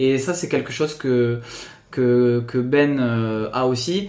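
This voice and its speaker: A man with a strong Toulouse accent, with audible room echo. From Toulouse area, southern France. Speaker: PE teacher. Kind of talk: casual chat.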